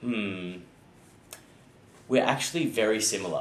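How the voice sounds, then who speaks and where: A man with an Australian accent speaks at a moderate pace in a fairly low voice. His intonation is lively, and the room echo is audible. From Australia (born South Africa, childhood in Ireland). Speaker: actor. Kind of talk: interview. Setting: sit-down interview.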